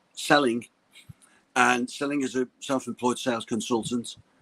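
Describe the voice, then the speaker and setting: A man with a Liverpool accent, medium-pitched, at a moderate pace, with fairly even intonation and a dry, close sound with no echo. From Liverpool, England. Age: 50s. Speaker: sales coach. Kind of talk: interview on live stream. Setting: live video call. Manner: halting, with frequent repetitions and restarts.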